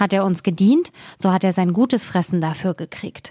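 A woman with an unremarkable speaking voice is heard on a very clean recording with a silent background and a dry, close sound with no echo. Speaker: fairy tale reader. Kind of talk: fairy tale reading aloud, scripted narration. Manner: storytelling, expressive, changing tone for characters.

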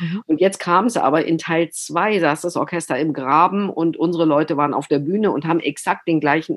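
A woman speaks in an ordinary speaking voice, fairly low in pitch. Her pace is moderate and her pitch variation ordinary. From southern Germany, Baden. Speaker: opera director and author. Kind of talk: casual interview.

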